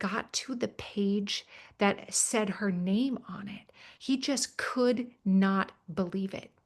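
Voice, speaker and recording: Against a quiet background, the speaker talks at a very slow pace with an American accent, a somewhat breathy voice and fairly even intonation. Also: woman, medium pitch for a woman. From Minnesota, US Midwest. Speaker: government teacher and author. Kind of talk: webinar conversation. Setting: online webinar.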